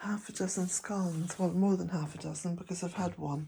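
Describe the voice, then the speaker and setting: A woman speaks at a medium pitch with a dark, mellow, somewhat breathy tone and ordinary pitch variation. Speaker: vlogger, smallholder. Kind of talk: casual vlog talk to camera. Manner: slow.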